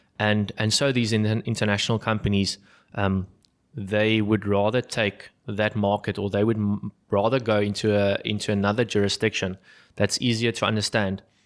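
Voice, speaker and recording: The speaker has a South African accent and a flat, monotone delivery at a moderate pace, with very even loudness. The recording is very clean and the background silent. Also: man, fairly low pitch for a man. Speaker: business founder and podcast host. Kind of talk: business podcast conversation. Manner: halting, many fillers and repeats.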